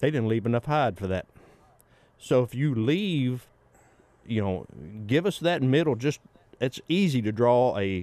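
With a Southern US accent, a man speaks in a medium pitch. He goes at a fairly slow pace with long, frequent pauses. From Arkansas. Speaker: taxidermist. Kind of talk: casual chat. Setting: studio.

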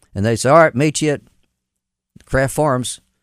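A man with a Southern US accent, on a very clean recording with a silent background. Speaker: mayor. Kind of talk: casual interview. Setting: studio.

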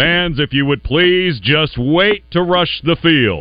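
In a put-on character voice, a man talks at a fairly slow pace with fairly high pitch and very even loudness.

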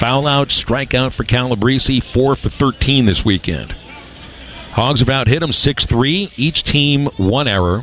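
With noticeable background noise behind him, a man speaks in an upbeat, energetic tone at a fairly slow pace and medium pitch, with ordinary pitch variation and very even loudness. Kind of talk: live baseball play-by-play commentary. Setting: radio broadcast from ballpark. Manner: upbeat radio play-by-play, steady and energetic.

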